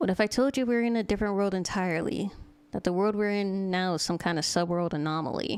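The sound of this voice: The reading voice sounds unforced. Its pitch moves up and down in an ordinary way.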